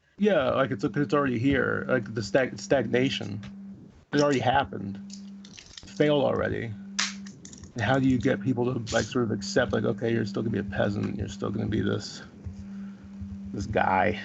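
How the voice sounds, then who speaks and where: Noticeable background noise sits behind a man speaking at a fairly low pitch with ordinary pitch variation. His pace is fairly quick, broken by long, frequent pauses. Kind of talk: casual chat. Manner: halting.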